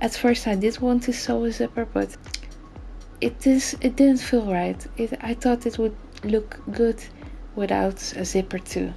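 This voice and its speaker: Music plays in the background as a woman with a non-native accent speaks at a fairly slow pace. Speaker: sewing hobbyist. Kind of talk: tutorial voice-over.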